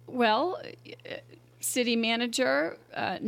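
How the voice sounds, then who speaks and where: A woman's fairly high-pitched voice with a Boston accent. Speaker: mayor. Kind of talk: casual interview chat. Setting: studio.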